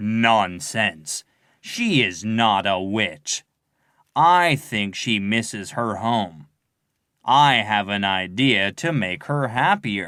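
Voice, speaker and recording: A man does a put-on character voice at fairly low pitch with lively intonation and a very slow pace. The recording is very clean, with a silent background. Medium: read story. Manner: confident, commanding.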